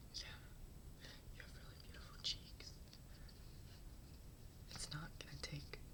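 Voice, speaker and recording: Whispering in a gentle tone, the speaker keeps a moderate pace with long, frequent pauses. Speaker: ASMR creator. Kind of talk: ASMR roleplay, soft-spoken makeover tutorial. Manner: soft-spoken, gentle.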